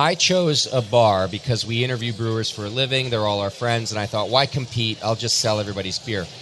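A man talks fairly fast while noticeable noise carries on in the background. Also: medium pitch for a man, ordinary pitch variation. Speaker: podcast host. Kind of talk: casual chat. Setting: live at a convention.

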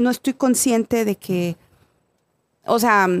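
A woman at a fairly slow pace, in a dry, close sound with no echo. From Mexico. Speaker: podcast guest. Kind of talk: casual chat.

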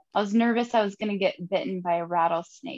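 A woman with a northern Minnesota accent talks fast at medium pitch, her tone slightly mellow and her pitch variation ordinary.

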